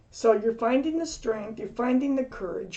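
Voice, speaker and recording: A woman with ordinary pitch variation. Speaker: tarot reader. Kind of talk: tarot reading. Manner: hesitant with fillers.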